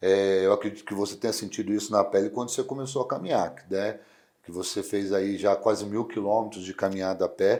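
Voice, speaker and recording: Fairly low in pitch, the man speaks in a dark, mellow tone. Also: fairly quick pace. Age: 40s. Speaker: strongman athlete. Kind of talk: interview. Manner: casual, lively storytelling.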